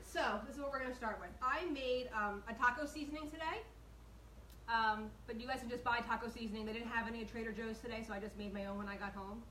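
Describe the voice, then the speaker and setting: Audible room echo surrounds a woman with a fairly high pitch who talks at a very fast pace with ordinary pitch variation. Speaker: home cooking show host. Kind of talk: live cooking tutorial. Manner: chatty, animated.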